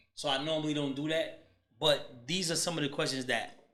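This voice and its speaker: A man with an American accent, fairly high in pitch, bright and sharp in tone, at a moderate pace, with audible room echo. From United States. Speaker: podcast host. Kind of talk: casual interview.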